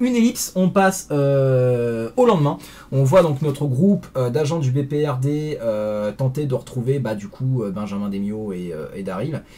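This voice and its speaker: Lively intonation marks this fairly slow delivery. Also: man, medium pitch for a man. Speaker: comics reviewer. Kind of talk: video review. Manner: hesitant, many fillers.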